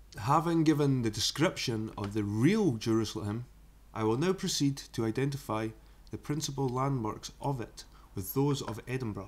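With a Scottish accent, a man talks at a moderate pace in a medium pitch, with ordinary pitch variation. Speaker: YouTuber reading a book aloud. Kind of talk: reading aloud; casual chat. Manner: halting.

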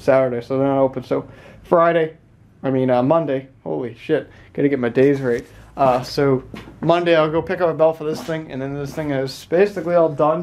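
Fairly quick pace and ordinary pitch variation from a man. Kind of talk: casual vlog chat. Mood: relaxed, casual, some swearing. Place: garage. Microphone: phone near.

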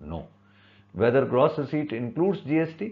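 A man with an Indian accent speaks at a moderate pace with vocal fry. His pitch swings very widely. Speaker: chartered accountant. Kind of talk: tutorial. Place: home room. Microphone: webcam.

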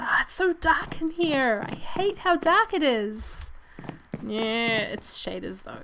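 Over noticeable background noise, a woman speaks very slowly in an upbeat tone at a high pitch with very wide pitch swings. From New Zealand. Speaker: gaming video creator. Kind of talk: casual let's play commentary.

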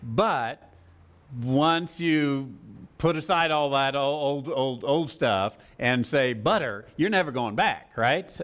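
Talking at a very slow pace, a man with an American accent and fairly high pitch uses lively intonation. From United States. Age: 50s. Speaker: Bible teacher. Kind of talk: Bible study lecture. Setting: live class with audience. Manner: halting. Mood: relaxed, humorous teaching. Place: church. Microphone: lapel.

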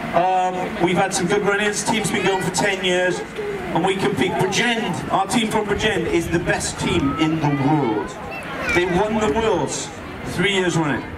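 Through loud background noise, a man speaks at a fairly slow pace with ordinary pitch variation. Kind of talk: commentary. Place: street.

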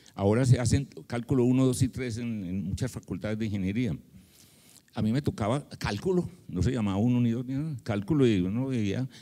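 A man's medium-pitched, dark, mellow voice at a fairly quick pace, with ordinary pitch variation and a quiet background. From Colombia, Medellín. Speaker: retired mathematics professor. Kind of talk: panel discussion. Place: hall. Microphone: handheld.

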